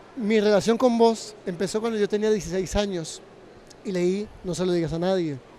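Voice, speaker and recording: The man's voice sits high, with ordinary pitch variation. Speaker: interviewer. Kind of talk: interview. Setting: book fair. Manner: fast.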